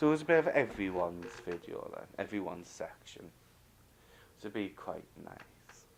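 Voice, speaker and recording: There are big swings in loudness as a man speaks at a moderate pace. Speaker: knitting video host. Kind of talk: casual video chat. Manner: halting.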